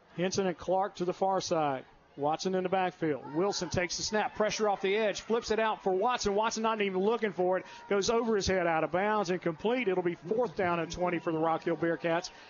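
A man talks at a fairly quick pace in a high pitch with an animated tone, ordinary pitch variation and very even loudness, over noticeable background noise. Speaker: radio play-by-play announcer. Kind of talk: live sports commentary. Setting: stadium broadcast. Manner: animated, fast play-by-play call.

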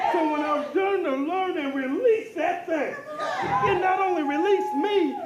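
A man speaks at an extremely high pitch and a moderate pace, with lively intonation and hardly any pauses. Crowd noise fills the background. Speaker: church member giving testimony. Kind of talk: testimony. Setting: church.

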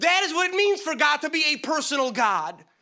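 A man with an extremely high pitch and a bright, sharp tone projects his raised voice. He speaks at a very slow pace with lively intonation. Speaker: preacher. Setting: church. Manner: animated; repetitive, exhorting.

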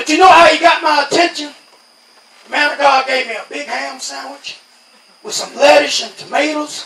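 A man's extremely high, raised, projected voice in an American accent, long, frequent pauses, noticeable background noise and audible room echo. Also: big swings in loudness. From New York. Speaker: lay preacher giving testimony. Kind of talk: Pentecostal revival testimony-sermon, call-and-response exhortation. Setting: outdoor tent revival. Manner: rhythmic preaching punctuated by constant amens, congregation answering; rising, insistent repetition building to fervor.

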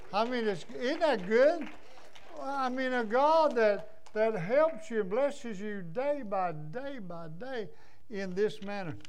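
A man's high-pitched voice in a Southern US accent, lively in intonation and very slow in pace. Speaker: pastor. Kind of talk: sermon. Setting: church. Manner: animated.

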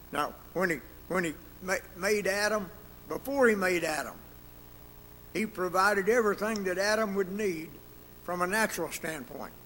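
A man speaks at a moderate pace in a high, bright and sharp voice, leaving long, frequent pauses. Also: ordinary pitch variation. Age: 80s+. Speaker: Sunday school teacher. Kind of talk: sermon. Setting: church.

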